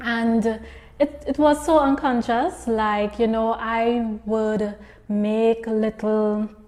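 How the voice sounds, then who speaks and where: Very slowly, a woman with a Trinidadian accent speaks at a fairly high pitch with fairly even intonation. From southern Trinidad, rural Princes Town. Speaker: entrepreneur and speaker. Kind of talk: interview answers, personal story.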